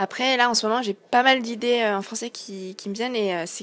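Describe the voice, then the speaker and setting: A woman speaks with fairly even intonation. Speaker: singer-songwriter. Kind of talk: interview. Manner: hesitant, many fillers.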